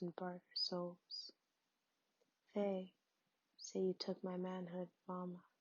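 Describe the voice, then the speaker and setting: Soft-spoken and very slow, a woman speaks at a medium pitch in a monotone, flat intonation. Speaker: ASMR poetry reader. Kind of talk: poetry reading. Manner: soft-spoken, relaxing.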